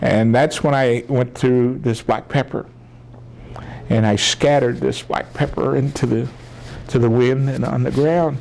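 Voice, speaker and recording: With an American accent, a man speaks at a fairly slow pace against noticeable background noise. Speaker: military veteran, oral history interviewee. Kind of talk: oral history interview answer, storytelling.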